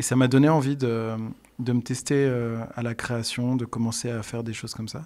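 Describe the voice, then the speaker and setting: The background is quiet. A man speaks with a dark, mellow tone and monotone, flat intonation. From France, Bourbonnais (Allier, near Moulins); France. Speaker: singer-songwriter and music teacher; music teacher. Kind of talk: radio interview. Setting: radio studio. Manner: hesitant, many fillers. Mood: calm, friendly. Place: home room. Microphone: studio mic.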